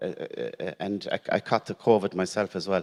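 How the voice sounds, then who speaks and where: A man with an Irish accent speaks in a fairly low voice at a moderate pace. The sound is dry and close, with no echo. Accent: Irish, Gaeltacht. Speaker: teacher sharing cancer story. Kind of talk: personal testimony at conference. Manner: halting, repeats words.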